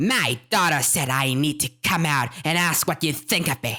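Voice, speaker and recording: A growling, put-on character voice at a low-to-middle pitch and a moderate pace. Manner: confrontational, aggressive.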